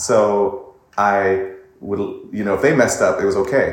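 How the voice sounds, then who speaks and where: A man with a medium pitch is heard with audible echo from the room. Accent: American. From US West Coast, Pasadena, California. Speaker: vocal coach and singer. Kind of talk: casual interview.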